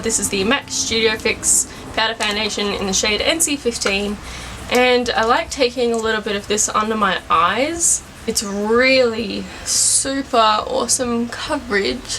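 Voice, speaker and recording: Moderate-paced speech from a woman at a fairly high pitch, ordinary in its pitch variation, over noticeable background noise. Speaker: beauty vlogger. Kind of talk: tutorial. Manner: loud.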